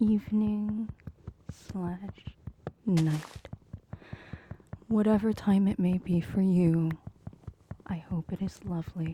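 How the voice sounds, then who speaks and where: Whispering and soft-spoken, at a very slow pace with long, frequent pauses, over noticeable background noise. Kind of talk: ASMR soft-spoken whispered ramble over gameplay. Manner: soft-spoken, whispered.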